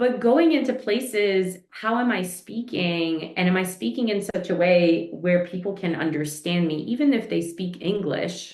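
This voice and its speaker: A woman talks with an American accent at a medium pitch. Her intonation is lively, and there are hardly any pauses. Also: moderate pace. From New York, inner city, Eastern European family. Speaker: leadership coach. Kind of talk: podcast interview.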